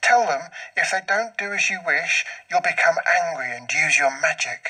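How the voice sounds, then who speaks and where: A man puts on a character voice. He speaks at a high pitch and a moderate pace. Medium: read story.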